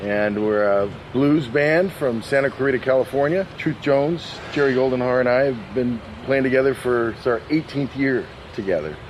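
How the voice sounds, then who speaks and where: Noticeable background noise sits behind a man's medium-pitched voice. He keeps a moderate pace with ordinary pitch variation. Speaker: blues musician. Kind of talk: interview.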